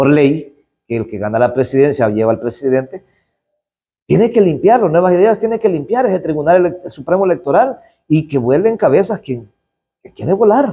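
A man talks with a Salvadoran accent at a fairly quick pace. His pitch swings very widely. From El Salvador, rural area. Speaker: politician, legislator. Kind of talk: interview statement to press. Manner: outspoken, forceful; halting, with repetitions. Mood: critical, indignant.

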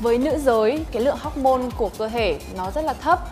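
The speaker's pitch varies in an ordinary way, with clear music playing in the background. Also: woman. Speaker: female gym trainer. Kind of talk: tutorial. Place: gym.

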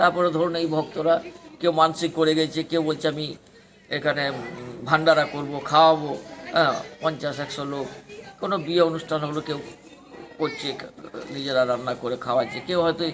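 This man's intonation is monotone and flat, his pitch fairly high. Crowd noise can be heard in the background. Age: 60s. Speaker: temple priest. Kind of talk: interview, storytelling. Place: open country. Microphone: phone near.

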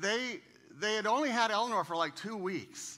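In a raised, projected voice with a bright, sharp tone, a man speaks at a moderate pace against a quiet background. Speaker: guest. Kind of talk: sermon. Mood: warm, joking. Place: church. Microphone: headset.

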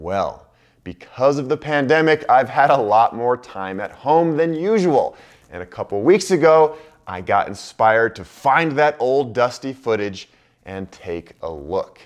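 Against a quiet background, a man speaks at a fairly slow pace. His loudness swings a lot and his pitch swings very widely. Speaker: travel vlogger. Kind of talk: casual vlog intro to camera. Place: office. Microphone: lapel.

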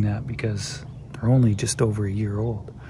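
Whispering, a man comes through a dry sound with no echo amid noticeable background noise. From British Columbia, Canada. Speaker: van life vlogger. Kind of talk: casual talk to camera. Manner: whispered, low-voiced. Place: waterside. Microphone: phone near.

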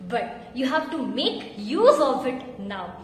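Light background noise and audible room echo accompany a woman as she talks. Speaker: teacher. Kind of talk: tutorial. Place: home room. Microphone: phone near.

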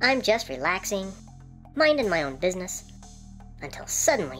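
A cartoonish character voice, female-sounding with a middle pitch and very wide pitch swings, at a moderate pace over clear music in the background

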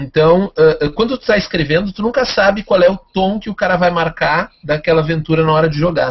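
With a Brazilian accent, a man talks at a very fast pace in a high pitch, using ordinary pitch variation. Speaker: tabletop RPG podcaster. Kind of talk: casual chat. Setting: video call.

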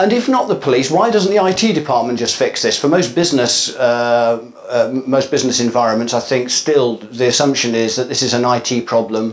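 Ordinary pitch variation from a man talking at a moderate pace. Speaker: conference speaker. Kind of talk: lecture. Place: hall.

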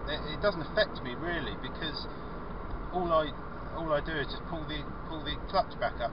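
A man speaks at a fairly quick pace with loud noise behind him, and the sound is dry with no echo. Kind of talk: casual vlog chat. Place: car. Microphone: camera far.

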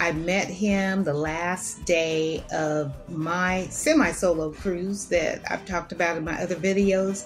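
A woman's fairly low voice with fairly even intonation at a very slow pace, faint music in the background. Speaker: solo cruise vlogger. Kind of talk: casual talk to camera. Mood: admiring, enthusiastic. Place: home room. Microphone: webcam.

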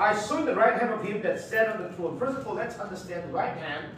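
Over light background noise and strong room echo, a man with a high voice speaks at a moderate pace. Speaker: Bible class teacher. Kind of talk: lecture. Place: classroom. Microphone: camera far.

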